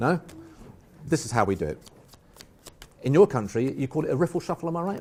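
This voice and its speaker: Someone with an English accent speaks at a very fast pace with very wide pitch swings. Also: man. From England. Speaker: magician. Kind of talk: live magic performance.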